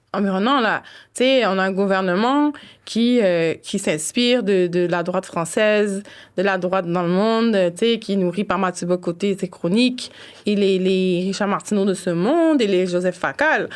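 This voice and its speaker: Over a quiet background, a woman speaks at a fairly slow pace and medium pitch with ordinary pitch variation. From Montreal, Quebec (east Rosemont), Haitian family. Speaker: cultural worker and blogger. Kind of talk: casual interview conversation. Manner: animated, lots of fillers.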